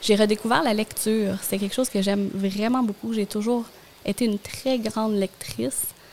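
Using a plain, everyday voice, a woman speaks at a moderate pace with a fairly high pitch and fairly even intonation. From Gaspésie, Quebec. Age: 30s. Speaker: communications professional and stay-at-home mother. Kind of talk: casual interview.

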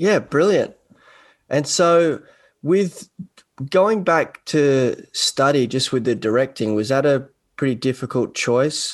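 Against a quiet background, a man with an Australian accent and a fairly high pitch speaks at a very slow pace, with lively intonation, very even loudness, and long, frequent pauses. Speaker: podcast host. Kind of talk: casual interview chat. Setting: video call.

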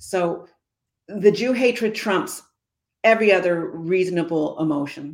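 Speaking with a Canadian accent, a woman moves at a fairly slow pace with long, frequent pauses and ordinary pitch variation. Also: medium pitch for a woman. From Canada. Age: 60s. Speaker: former senator and community advocate. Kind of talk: interview.

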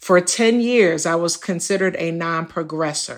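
A woman speaks at a fairly slow pace with lively intonation in a plain, everyday voice, on a very clean recording with a silent background. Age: 50s. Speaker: patient living with HIV. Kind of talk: personal testimony.

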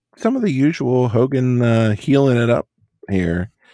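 An unremarkable speaking voice, this man talks at a moderate pace and a medium pitch with lively intonation. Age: 40s. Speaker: wrestling podcast co-host. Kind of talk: casual chat. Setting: studio.

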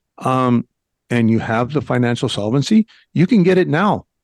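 An American-accented man at medium pitch, with lively intonation and a moderate pace, in a dry, close sound with no echo and a quiet background. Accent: Mexican American English. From northern Mexico. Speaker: retired federal agent, expat YouTuber. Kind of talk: radio interview.

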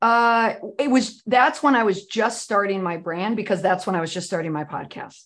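A woman with an American accent and a normal speaking voice talks at a medium pitch. Her intonation is lively and her pace moderate. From US Midwest. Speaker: PR crisis expert and podcaster. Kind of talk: casual interview chat.

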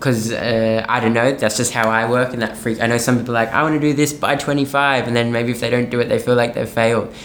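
A man with an Australian accent talks at a very fast pace with hardly any pauses, in a monotone, flat intonation and very even loudness, amid noticeable background noise and audible room echo. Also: medium pitch for a man. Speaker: musical theatre performer. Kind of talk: interview conversation.

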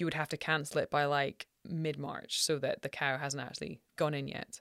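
With a Scottish accent, a woman speaks at a moderate pace in a dry, close recording with no echo and a very clean, silent background. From Scotland. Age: 40s. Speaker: rancher. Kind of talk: casual chat.

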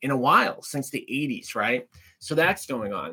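A man with an American accent speaks at a moderate pace in a bright, sharp tone with a fairly high pitch. The recording is very clean, with a silent background. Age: 40s. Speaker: podcast host, real estate agent investor. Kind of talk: solo podcast monologue on economics. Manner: casual, filler-heavy (um, right, you know).

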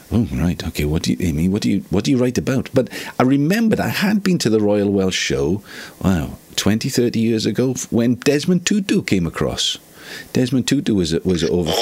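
At a moderate pace, a man with a fairly low pitch speaks with very wide pitch swings over noticeable background noise. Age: old. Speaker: podcast host, songwriter. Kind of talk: casual chat.

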